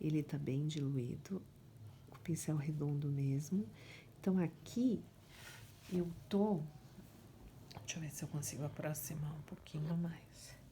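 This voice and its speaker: A soft-spoken woman with a very deep, low pitch talks fairly slowly in a dark, mellow, somewhat breathy tone. Her pitch varies in an ordinary way, with long, frequent pauses. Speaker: painting teacher. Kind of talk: tutorial.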